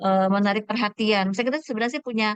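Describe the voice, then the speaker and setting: Her pace is very fast, and this woman's pitch is fairly high with fairly even intonation. The sound is dry and close, with no echo. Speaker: preschool teacher, audience member asking a question. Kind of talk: question in online webinar. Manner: halting, many fillers.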